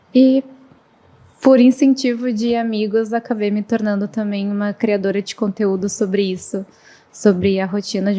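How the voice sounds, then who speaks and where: A woman's intonation stays fairly even while noticeable noise fills the background. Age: 20s. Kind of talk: podcast interview.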